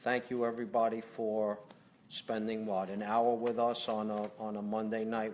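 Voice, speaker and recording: A man speaks in a Brooklyn accent at a fairly slow pace. His intonation is monotone and flat. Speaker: company president. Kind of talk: live Q&A. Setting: home livestream. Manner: conversational, hesitant fillers.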